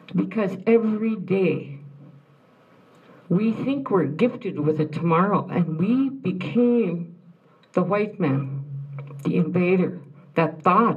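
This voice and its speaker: A woman speaks at a medium pitch in a somewhat breathy voice with lively intonation, very slowly and with long, frequent pauses. Room echo is audible. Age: old. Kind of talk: speech to an audience. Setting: room with audience after film screening.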